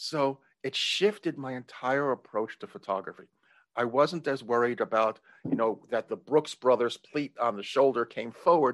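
A plain, everyday voice at a moderate pace with ordinary pitch variation, a dry, close sound with no echo and a quiet background. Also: man, medium pitch for a man. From New York. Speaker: entrepreneur. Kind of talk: interview.

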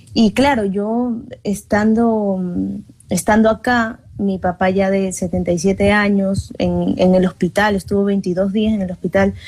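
This woman has an ordinary speaking voice at a medium pitch. Her intonation is fairly even. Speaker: singer and journalist. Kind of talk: interview chat.

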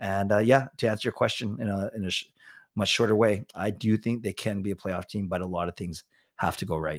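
A man with a Canadian accent talks at a fairly quick pace in a fairly low pitch, an ordinary speaking voice. The sound is dry and close, with no echo. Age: 40s. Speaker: sports fan personality. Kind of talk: casual chat.

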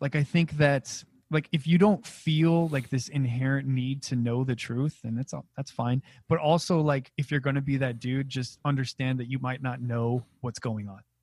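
A somewhat breathy man with fairly even intonation. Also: medium pitch for a man, dry, close sound with no echo. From New Mexico. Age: 30s. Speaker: comedian and podcast host. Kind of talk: casual chat. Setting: video call. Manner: fast.

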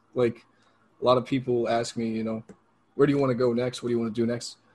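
The man's voice is somewhat breathy and sits at a medium pitch. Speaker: independent pro wrestler. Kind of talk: casual interview.

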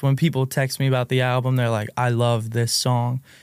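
In an American accent, a man at medium pitch speaks at a moderate pace with an ordinary speaking voice. The recording is very clean, with a silent background. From West Virginia, US. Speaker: singer and songwriter. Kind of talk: casual podcast interview. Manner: casual, laid-back.

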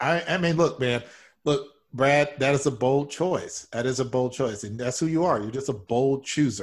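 A somewhat breathy man at a fairly high pitch, with ordinary pitch variation, a moderate pace and a very clean recording with a silent background. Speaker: improv comedian.

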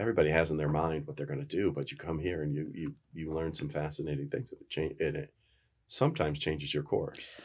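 A man with an American accent at a very fast pace, with big swings in loudness. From upstate New York, near the Canadian border. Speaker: professor and university administrator. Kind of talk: casual interview chat.

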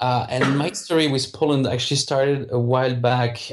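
A man with a French accent talks at a moderate pace with fairly even intonation. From France, southern suburbs of Paris. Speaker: video game entrepreneur. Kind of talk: interview. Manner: halting, many repetitions.

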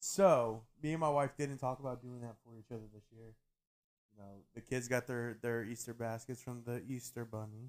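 Delivered in a plain, everyday voice, the speech keeps a moderate pace and fairly even intonation but shows big swings in loudness. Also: man, medium pitch for a man. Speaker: podcast host. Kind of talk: casual banter. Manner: joking, playful.

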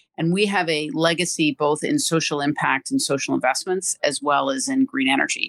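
A woman at a fairly quick pace, with a dry, close sound and no echo. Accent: New York. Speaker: corporate sustainability executive. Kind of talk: interview.

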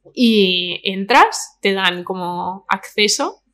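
A woman speaks at medium pitch with a Madrid accent. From Spain, Madrid (Vallecas). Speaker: influencer. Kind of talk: casual chat.

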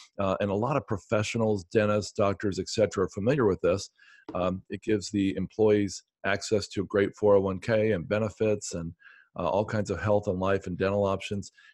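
An ordinary speaking voice moves at a moderate pace with fairly even intonation. The sound is dry and close, with no echo. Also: man, fairly low pitch for a man. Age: 50s. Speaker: real estate investor. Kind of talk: interview.

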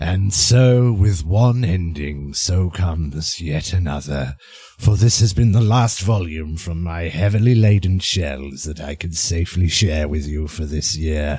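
A man talks at a moderate pace in a very deep, low-pitched voice. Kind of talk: horror anthology narration. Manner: soft, sinister, wry.

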